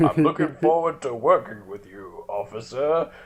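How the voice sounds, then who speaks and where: A man puts on a character voice. He speaks at a fairly high pitch and a moderate pace. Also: lively intonation. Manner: pretending to be an adult, playing it straight.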